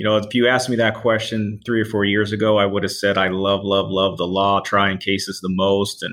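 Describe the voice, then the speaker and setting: The delivery moves at a fairly quick pace. Intonation stays monotone and flat. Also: man. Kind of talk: casual interview, storytelling.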